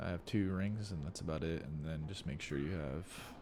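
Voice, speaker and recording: The voice carries vocal fry. It moves at a moderate pace with ordinary pitch variation. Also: man. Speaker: gamer. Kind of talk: gameplay tutorial commentary. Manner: casual.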